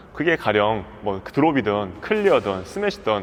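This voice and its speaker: A man's pitch swings very widely. Noticeable background noise is present too. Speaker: badminton coach. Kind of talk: tutorial. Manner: fast; animated.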